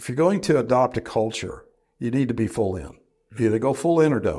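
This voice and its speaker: A man with an American accent has a dark, mellow tone, vocal fry, and very wide pitch swings. The recording is very clean, with a silent background. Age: 60s. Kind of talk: interview.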